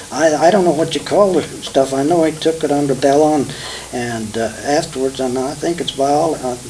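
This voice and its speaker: Fairly high male voice in a Midwestern US accent, with noticeable background noise. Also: ordinary pitch variation, moderate pace. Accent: rural Midwestern American. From Kansas. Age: 70s. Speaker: retired farmer. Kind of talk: oral history interview. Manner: halting.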